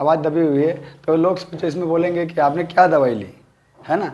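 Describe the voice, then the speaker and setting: A man talks in a high pitch. He keeps a moderate pace. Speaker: naturopathy dietitian. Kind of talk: health talk to camera. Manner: halting.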